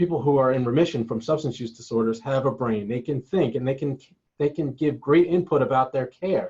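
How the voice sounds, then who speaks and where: A man's medium-pitched voice moves at a fairly quick pace. It has ordinary pitch variation and sounds somewhat breathy. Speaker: collegiate recovery program staff. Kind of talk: webinar presentation. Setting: online webinar. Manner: fast.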